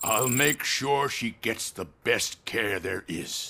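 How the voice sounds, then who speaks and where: Using a put-on character voice, a man speaks very slowly at a medium pitch, raspy and with lively intonation. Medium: video game. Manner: paternal, smooth.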